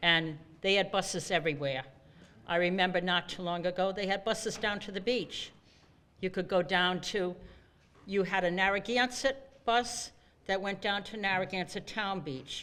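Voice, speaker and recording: With a Rhode Island accent, the speaker uses a bright, sharp tone at a moderate pace, broken by long, frequent pauses. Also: woman, medium pitch for a woman, ordinary pitch variation. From Rhode Island, Cranston. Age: 70s. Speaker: bus rider speaking at public hearing. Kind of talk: public hearing testimony.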